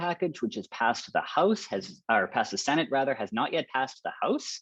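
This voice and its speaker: A man with a fairly high pitch talks at a fairly quick pace with vocal fry and very wide pitch swings. He hardly pauses, and the background is quiet. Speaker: professor and author. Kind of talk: webinar presentation. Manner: fast.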